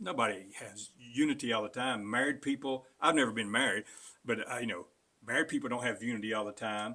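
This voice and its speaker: In a very clean recording with a silent background, a man with an Appalachian accent speaks fairly quickly in a bright, sharp tone. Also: medium pitch for a man, ordinary pitch variation. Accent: Southern Appalachian US. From western North Carolina mountains. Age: 60s. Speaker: political candidate. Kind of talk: interview. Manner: halting.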